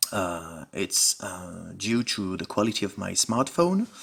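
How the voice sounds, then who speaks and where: A fairly slow-paced man's voice in an American accent. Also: very clean recording, silent background. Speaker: musician and home recording creator. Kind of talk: tutorial. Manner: halting, many filler words.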